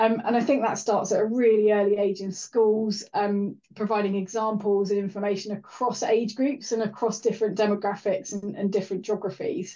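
A woman talks at a fairly quick pace with hardly any pauses. Her medium-pitched, dark, mellow tone stays in a monotone, flat intonation. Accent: Welsh. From Wales. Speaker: rail engineering director. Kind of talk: interview.

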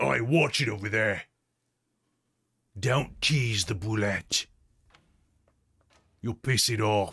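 Putting on a character voice, a man speaks at a medium pitch and a very slow pace, with long, frequent pauses. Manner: gruff, warning.

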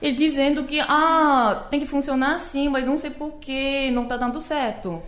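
In a Korean accent, a woman speaks at a moderate pace. Room echo is audible. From South Korea. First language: Korean (speaking Portuguese). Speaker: Korean language teacher. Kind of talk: casual chat.

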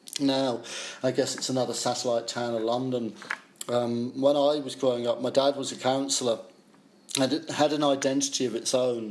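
A man with a southern English accent speaks at a moderate pace in a medium pitch. His intonation is flat and monotone, with noticeable background noise. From Essex, England. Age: 50s. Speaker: music journalist. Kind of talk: interview.

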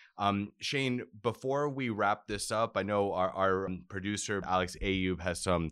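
On a very clean recording with a silent background, an American-accented voice shows ordinary pitch variation. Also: man. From South Florida. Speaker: podcast host. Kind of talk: interview. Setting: studio.

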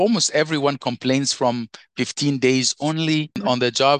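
A man's plain, everyday voice, fairly high in pitch, with ordinary pitch variation and a moderate pace, in a dry, close sound with no echo. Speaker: IT consultant and career coach. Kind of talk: interview, conversational.

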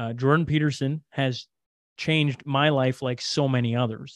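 The speaker has a western Canadian accent and talks at a moderate pace. Pitch varies in an ordinary way against a quiet background. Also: man. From Canada. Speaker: podcaster. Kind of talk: casual chat.

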